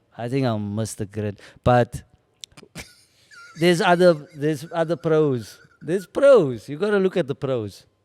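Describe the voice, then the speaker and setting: In a South African accent, a man speaks at a moderate pace and a fairly high pitch, with very wide pitch swings and long, frequent pauses. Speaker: comedian and actor. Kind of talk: casual chat. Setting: venue.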